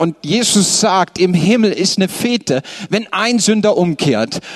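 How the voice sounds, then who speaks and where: A man speaks in an animated tone with lively intonation against noticeable background noise. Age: 30s. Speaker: pastor. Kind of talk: sermon.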